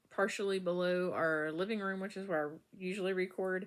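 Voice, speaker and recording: A woman's voice at a medium pitch comes through quietly. Her intonation is flat and monotone. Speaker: knitting podcaster. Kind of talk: casual chat. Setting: bedroom at home. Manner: halting, many fillers.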